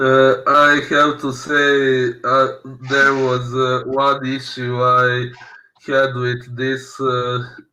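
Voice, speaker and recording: A man's very slow, flat, monotone delivery in a bright, sharp tone, broken by long, frequent pauses, with audible room echo. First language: not English. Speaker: film podcast co-host. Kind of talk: casual film discussion. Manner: halting, many fillers.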